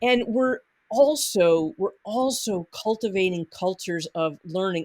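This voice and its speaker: A woman talks at a fairly slow pace in a medium pitch with lively intonation. The sound is dry and close, with no echo. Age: 60s. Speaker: nonprofit conflict consultant. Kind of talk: podcast interview. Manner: halting.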